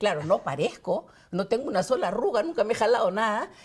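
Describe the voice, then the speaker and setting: Against noticeable background noise, a woman talks fairly quickly in a fairly high pitch with lively intonation. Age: 60s. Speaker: congressional candidate. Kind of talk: interview.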